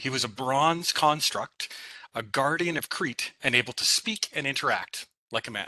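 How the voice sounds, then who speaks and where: A man speaks at a moderate pace with a slight Saskatchewan accent, his fairly high voice bright and sharp, the pitch varying in an ordinary way, the sound dry and close with no echo. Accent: slight Saskatchewan Canadian. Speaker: PhD student presenter, data scientist. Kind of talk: academic presentation.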